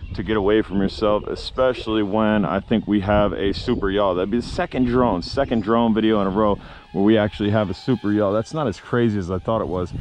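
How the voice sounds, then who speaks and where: A man's normal speaking voice, fairly low in pitch with ordinary pitch variation, at a fairly quick pace with hardly any pauses, in a dry sound with no echo over light background noise. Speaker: drone reviewer. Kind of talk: commentary. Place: street. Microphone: phone near.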